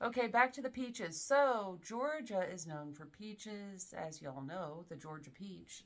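Speaking at a fairly slow pace with hardly any pauses, a woman uses a medium pitch, very wide pitch swings and big swings in loudness. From US South. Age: 40s. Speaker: fragrance reviewer. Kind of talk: casual chat. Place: home room. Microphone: camera far.

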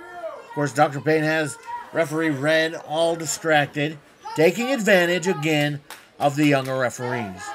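With noticeable background noise behind him, a man speaks at a moderate pace in a fairly high voice with ordinary pitch variation. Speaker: wrestling commentator. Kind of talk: live wrestling play-by-play commentary.

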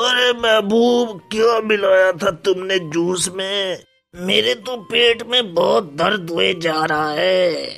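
A man does a put-on character voice, high in pitch with ordinary pitch variation. He goes at a fairly slow pace as faint music plays in the background. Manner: complaining, accusing. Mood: pained, accusing complaint.

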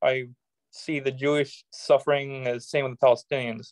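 A man with an American accent speaks in a fairly high voice with monotone, flat intonation, in a dry sound with no echo and a quiet background. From United States. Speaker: political activist; interview guest. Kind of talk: interview. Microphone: video call.

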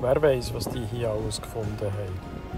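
A moderate pace, ordinary pitch variation and a Swiss accent, with music in the background. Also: man. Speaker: travel vlogger. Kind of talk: travel vlog voice-over.

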